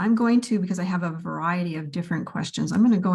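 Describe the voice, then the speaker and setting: A woman's voice sits at a fairly low pitch and sounds somewhat breathy. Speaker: law professor. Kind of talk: conference presentation.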